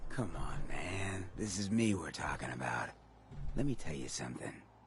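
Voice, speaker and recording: A man's put-on character voice, raspy and very deep, with very wide pitch swings at a moderate pace over clear background noise. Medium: video game. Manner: cool, slangy, self-assured.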